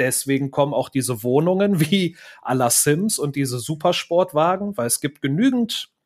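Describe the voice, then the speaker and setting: A man speaks in a normal speaking voice at a moderate pace, with a fairly high pitch and ordinary pitch variation. The recording is very clean, with a silent background. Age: 30s. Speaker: YouTuber. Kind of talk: casual chat.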